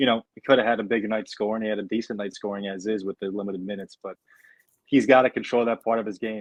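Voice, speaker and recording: A man's fairly low voice carries an American accent. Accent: New York (denied by speaker). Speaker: sports podcast host. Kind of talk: casual sports discussion.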